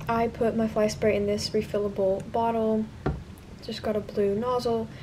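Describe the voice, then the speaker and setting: A woman at a fairly slow pace, with noticeable background noise. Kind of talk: casual haul vlog. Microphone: phone near.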